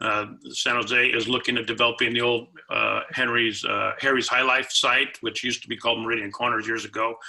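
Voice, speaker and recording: A man's medium-pitched voice, fairly quick and monotone, with flat intonation over noticeable background noise. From Santa Clara, California. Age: 60s. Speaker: political candidate, attorney. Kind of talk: candidate forum answer. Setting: video call.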